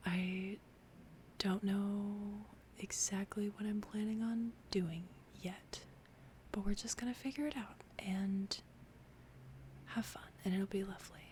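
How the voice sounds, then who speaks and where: A soft-spoken, somewhat breathy woman's whisper at a very slow pace. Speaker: ASMR creator. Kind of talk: ASMR talk to camera. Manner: soft-spoken, whispered.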